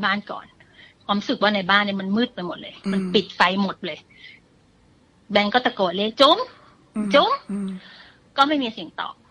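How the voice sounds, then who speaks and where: In an unremarkable speaking voice, a woman talks at a medium pitch. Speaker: guest storyteller. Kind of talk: ghost story told on a radio show. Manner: conversational.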